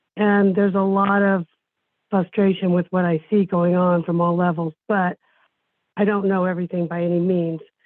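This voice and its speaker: A woman with an American accent speaks at a medium pitch in a monotone, flat delivery, her loudness very even. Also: moderate pace. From San Francisco Bay Area, California. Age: 60s. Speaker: community member, retired escrow worker. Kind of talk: public comment. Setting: Zoom video meeting.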